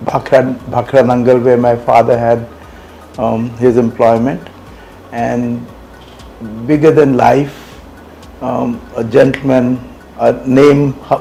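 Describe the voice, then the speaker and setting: Very slow speech from a man at medium pitch, with music in the background. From India, Punjab. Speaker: master mariner and company founder. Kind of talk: interview.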